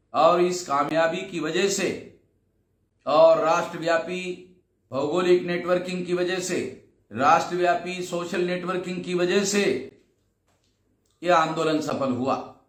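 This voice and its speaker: A man speaks in a high pitch, leaving long, frequent pauses. Room echo is audible. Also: fairly even intonation. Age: 60s. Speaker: activist and organization leader. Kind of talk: recorded video address to a gathering.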